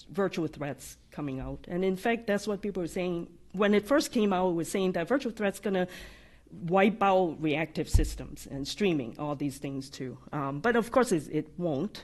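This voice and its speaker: A woman's fairly low-pitched voice with vocal fry and a slight non-native accent, against a quiet background. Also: moderate pace. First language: not English. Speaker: AI practice lead. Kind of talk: podcast interview. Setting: live audience. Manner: occasional stutters.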